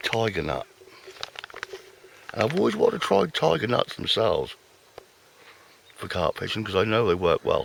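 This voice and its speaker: At a moderate pace, a man talks with long, frequent pauses amid noticeable background noise. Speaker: fishing vlogger. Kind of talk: casual vlog commentary. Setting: outdoors by a lake. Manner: soft-spoken.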